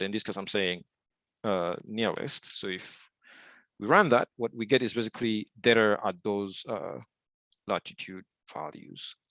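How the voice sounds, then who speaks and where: A man speaks at a fairly low pitch, with long, frequent pauses. The sound is dry and close, with no echo. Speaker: software developer teaching a tutorial. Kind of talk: online tutorial. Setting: video call. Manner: fast, with many fillers.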